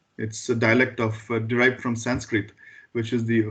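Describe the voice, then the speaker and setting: In a Goan accent, the speaker talks at a moderate pace with monotone, flat intonation. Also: man. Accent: Indian English (Goan). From Goa, India. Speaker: school board trustee. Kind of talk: meeting introduction. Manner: halting, stammers.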